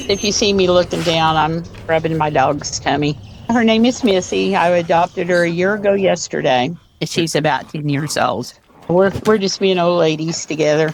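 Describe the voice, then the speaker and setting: A woman speaks with very even loudness. Noticeable background noise runs underneath. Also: fairly low pitch for a woman, ordinary pitch variation, moderate pace. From Oklahoma, Tulsa. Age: 70s. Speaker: voter interviewee. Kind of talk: interview. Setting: video call on back porch.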